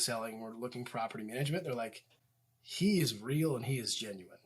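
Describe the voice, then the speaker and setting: Using an unremarkable speaking voice, a man with an American accent talks at a moderate pace, medium in pitch with ordinary pitch variation. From Indiana, US Midwest. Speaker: real estate agent and property manager. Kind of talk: casual interview. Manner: many fillers and repeated words.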